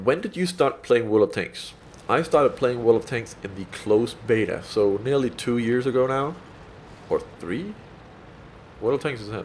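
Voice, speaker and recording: A man with a Danish accent speaks at a moderate pace and medium pitch. He takes long, frequent pauses, and his loudness swings widely. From Denmark. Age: 20s. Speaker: gaming YouTuber. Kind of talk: Q&A video commentary. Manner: casual, many filler ums.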